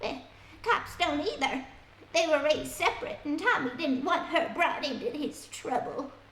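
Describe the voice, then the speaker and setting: Putting on a character voice, a woman speaks with a high pitch and lively intonation, with slight echo. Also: moderate pace. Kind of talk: 1940s radio acting. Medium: audio drama. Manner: colloquial, chatty.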